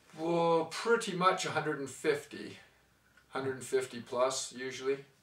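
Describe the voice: With audible room echo, a man speaks at medium pitch in a bright, sharp tone, with ordinary pitch variation. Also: fairly slow pace.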